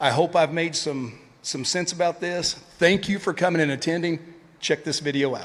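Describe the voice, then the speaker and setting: Fairly even intonation and a fairly quick pace come through in a Tennessee accent. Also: man. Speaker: retired police officer, event speaker. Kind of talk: conference speech.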